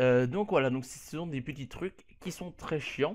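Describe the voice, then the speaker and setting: In a quiet background, a man with a fairly high pitch speaks at a fairly slow pace with lively intonation. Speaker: YouTuber. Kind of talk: tutorial. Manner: casual, hesitant.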